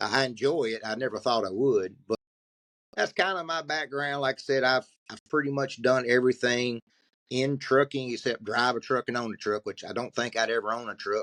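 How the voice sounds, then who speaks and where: In a strong Southern US accent, a man talks at a moderate pace with ordinary pitch variation. The sound is dry and close, with no echo. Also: medium pitch for a man. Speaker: podcast co-host and trucking recruiter. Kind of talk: casual podcast conversation. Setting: video podcast recording.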